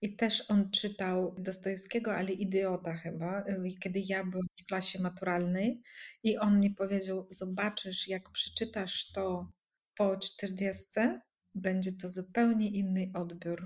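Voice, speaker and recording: A woman's somewhat breathy, medium-pitched voice with monotone, flat intonation. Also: fairly slow pace. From Russian-speaking country. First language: Russian (speaking Polish). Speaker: coach. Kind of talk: casual chat.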